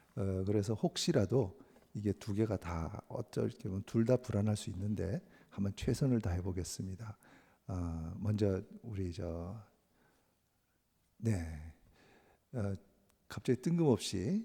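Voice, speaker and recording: With a somewhat breathy, dark, mellow tone, a man speaks at a fairly low pitch and very slow pace, using ordinary pitch variation and long, frequent pauses. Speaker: missionary. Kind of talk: sermon with mission report.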